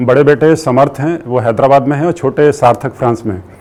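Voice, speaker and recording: Fairly high male voice, ordinary in its pitch variation. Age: 60s. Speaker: retired engineer and spiritual volunteer. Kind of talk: testimony. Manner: halting with filler sounds.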